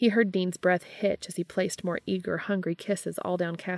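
With fairly even intonation, someone reads aloud in a natural voice.

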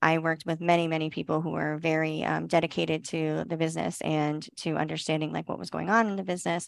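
An ordinary speaking voice at a fairly quick pace against a quiet background. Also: woman. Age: 30s. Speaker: esthetician and business owner. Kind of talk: interview.

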